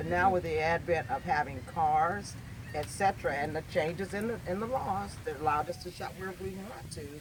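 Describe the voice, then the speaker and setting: A man talks fairly quickly in an American accent, with noticeable noise in the background. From US Northeast, Erie, Pennsylvania. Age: 60s. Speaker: community discussion participant. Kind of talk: group discussion. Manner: halting, with repetitions.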